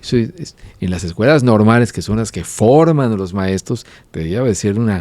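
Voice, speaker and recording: Ordinary pitch variation and a dark, mellow tone in a man's voice, at a moderate pace. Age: 50s. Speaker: writer. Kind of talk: casual chat.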